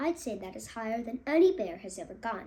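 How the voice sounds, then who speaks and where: A woman puts on a character voice at a fairly high pitch and a fairly quick pace. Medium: read story. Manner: gentle, warm.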